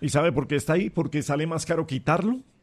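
A man speaks at a fast pace, his fairly high pitch moving with lively intonation.

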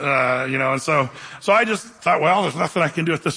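A man speaks with fairly high pitch and a bright, sharp tone. Vocal fry runs through his voice.

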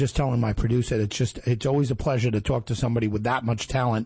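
A man talks at a fast pace with an East Coast US accent. His tone is slightly mellow and his intonation fairly even. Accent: American East Coast.

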